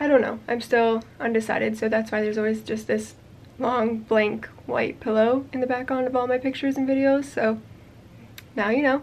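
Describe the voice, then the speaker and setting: With monotone, flat intonation, a woman talks at a moderate pace. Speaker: crochet designer and video creator. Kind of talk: casual vlog chat. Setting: home yarn room, on camera. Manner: casual with fillers. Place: home room. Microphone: phone near.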